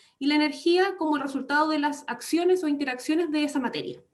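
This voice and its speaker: A woman with a high pitch. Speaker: radiology lecturer. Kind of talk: online lecture.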